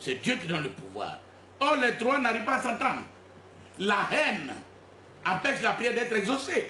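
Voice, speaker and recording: A raised, projected voice with lively intonation moves at a moderate pace broken by long, frequent pauses, amid audible room echo and noticeable background noise. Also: man, extremely high pitch for a man. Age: 60s. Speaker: self-proclaimed spiritual leader. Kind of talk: press conference. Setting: press conference with journalists.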